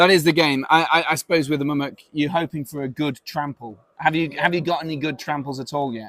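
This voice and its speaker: A man with an English accent talks at a fairly quick pace, hardly pausing at all. His pitch sits fairly high and his intonation stays fairly even. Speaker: tournament stream host. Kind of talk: live stream interview. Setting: outdoors on a veranda.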